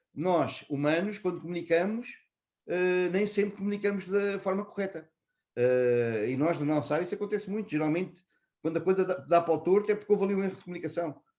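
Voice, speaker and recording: A man speaks very fast in a high-pitched voice. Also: ordinary pitch variation. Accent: European Portuguese. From Portugal. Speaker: customer experience executive. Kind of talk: interview. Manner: hesitant, with filler sounds.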